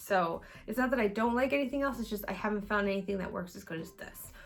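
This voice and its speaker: Her pitch moves in an ordinary way as the woman talks. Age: 30s. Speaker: beauty vlogger. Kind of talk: casual chat. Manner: fast.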